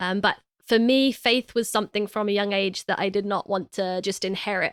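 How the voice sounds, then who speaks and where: Speaking at a fairly quick pace with a British accent, a woman holds a medium pitch and fairly even intonation, her dry, close sound free of echo on a very clean recording with a silent background. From England, East London. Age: 20s. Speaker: podcast co-host. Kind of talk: personal testimony; casual chat.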